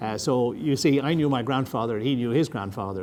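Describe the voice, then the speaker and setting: A man with an Irish accent, medium in pitch, lively in intonation, at a moderate pace. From Ireland. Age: 70s. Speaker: retired army officer. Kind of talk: lecture. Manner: halting.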